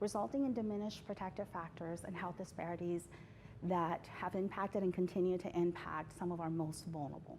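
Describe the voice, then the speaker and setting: At a fairly quick pace, a woman talks with a fairly low pitch and ordinary pitch variation. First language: not English. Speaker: healthcare language justice advocate. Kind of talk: award interview. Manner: formal.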